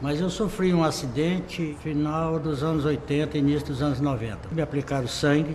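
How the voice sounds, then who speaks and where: Over noticeable background noise and audible room echo, a man talks at a moderate pace in a fairly high pitch with fairly even intonation. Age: 60s. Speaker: liver transplant patient. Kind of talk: testimony.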